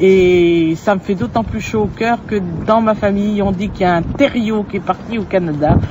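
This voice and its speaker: Over noticeable background noise, a woman speaks at a moderate pace and medium pitch with ordinary pitch variation. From France, Poitou. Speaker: storyteller and regional language advocate. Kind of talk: interview. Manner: halting, many hesitations.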